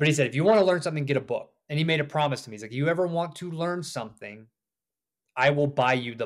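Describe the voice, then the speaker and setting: A man with an American accent talks at a very fast pace and a fairly high pitch. His loudness swings widely while his pitch varies in an ordinary way. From US South. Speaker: author and off-grid homesteader. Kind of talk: interview.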